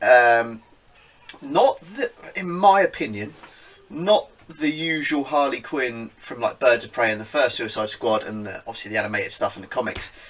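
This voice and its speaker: Noticeable background noise sits behind a man with a British accent. He talks at a moderate pace, with big swings in loudness. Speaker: geek culture podcast host. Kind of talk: casual talk to camera.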